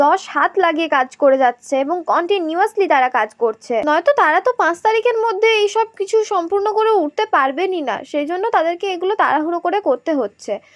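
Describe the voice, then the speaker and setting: Her pitch extremely high, a woman speaks with very wide pitch swings. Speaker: travel vlogger. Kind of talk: vlog walkthrough narration.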